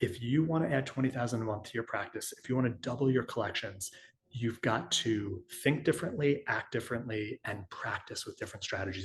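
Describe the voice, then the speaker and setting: A man with an American accent talks at a fairly quick pace in a medium pitch. His voice is somewhat breathy, with ordinary pitch variation. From New York. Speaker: chiropractor and business consultant. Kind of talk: webinar presentation. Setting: online webinar with chat. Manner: fast.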